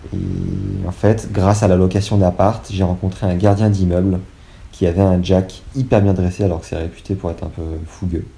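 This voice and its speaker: At a moderate pace, a man speaks in a very deep, low voice with fairly even intonation. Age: 20s. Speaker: podcaster and dog owner. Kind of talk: casual interview.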